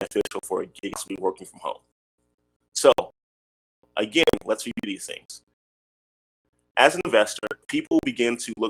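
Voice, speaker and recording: Music plays behind a man whose voice is recorded dry and close, without any echo. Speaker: real estate investing educator. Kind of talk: tutorial. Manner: fast.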